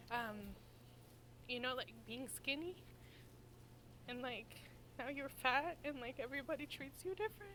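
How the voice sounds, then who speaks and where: A woman with a high pitch projects her raised voice in a bright, sharp tone, with ordinary pitch variation. She keeps a moderate pace, broken by long, frequent pauses. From South America. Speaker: reality show participant. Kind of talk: group discussion. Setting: video shoot, blindfolded.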